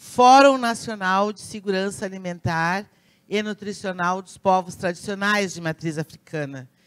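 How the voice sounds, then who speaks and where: A woman speaks in an unremarkable speaking voice at a moderate pace. Her pitch is medium, with ordinary variation. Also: very clean recording, silent background. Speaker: pediatrician and community leader. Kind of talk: conference talk.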